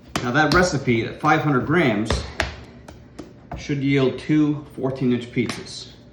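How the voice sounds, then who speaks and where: A man talks at a moderate pace. Audible room echo and noticeable background noise accompany him. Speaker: home cooking instructor. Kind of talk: cooking tutorial. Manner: casual.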